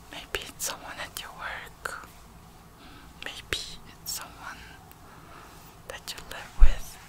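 A soft-spoken woman whispers in a soothing tone. Her pace is very slow. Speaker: relaxation video host. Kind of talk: soft soothing personal-attention talk. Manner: soft soothing whisper, concerned. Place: home room.

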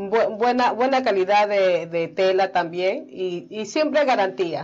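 This woman has an unremarkable speaking voice, medium in pitch, and she talks at a fairly slow pace. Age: young. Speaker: fashion designer; guest. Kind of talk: interview; interview answer. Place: studio.

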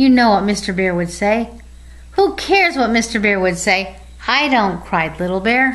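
A natural reading voice is heard in this recording.

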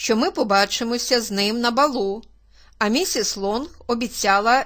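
Reading in an unforced voice

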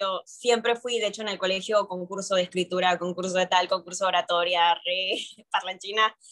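A woman talks at a moderate pace in a flat monotone, hardly pausing, against a quiet background. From mixed, born in Peru, long in Argentina. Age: 20s. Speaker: urban music singer; interviewee. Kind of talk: interview. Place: home room. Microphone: video call.

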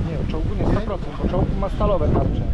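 A man's voice comes through over loud background noise. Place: market. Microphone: camera far.

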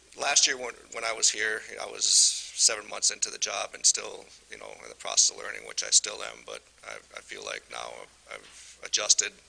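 A man talks with an American accent and big swings in loudness. Noticeable background noise runs beneath him. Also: moderate pace. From Michigan. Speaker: utility superintendent. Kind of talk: presentation at council meeting.

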